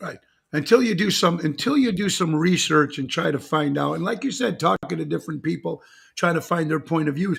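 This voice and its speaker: With vocal fry and a fairly high pitch, a man talks at a fairly quick pace. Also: ordinary pitch variation. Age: 60s. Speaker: talk show host. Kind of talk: casual interview chat.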